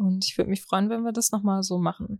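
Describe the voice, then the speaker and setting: Recorded very cleanly against a silent background, a woman with a medium pitch speaks at a fairly quick pace in a dry, close sound with no echo. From Germany, East Westphalia. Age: 20s. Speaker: party member. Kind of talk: interview.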